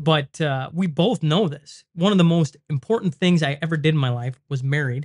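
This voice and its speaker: Speaking with a Canadian prairie accent, a man with a fairly high pitch and ordinary pitch variation keeps a moderate pace with hardly any pauses, in a dry, close sound with no echo. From Saskatchewan, Western Canada. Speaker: podcaster, former hockey player. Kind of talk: casual chat. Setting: studio.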